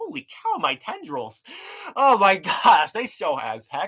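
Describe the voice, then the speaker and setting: Fairly slow, middle-pitched delivery in a put-on character voice. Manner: excitable, comical.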